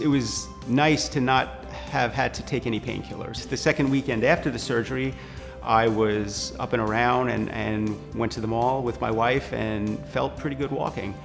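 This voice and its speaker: With music in the background, a man speaks at a moderate pace in a medium pitch, his voice making very wide pitch swings. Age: 50s. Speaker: knee surgery patient. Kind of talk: patient testimonial interview answer.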